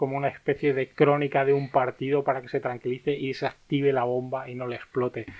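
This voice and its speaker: Moderate pace, medium pitch and monotone, flat intonation from a man. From Andalusia, Spain (Martos, Jaén). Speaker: film critic. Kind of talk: casual chat.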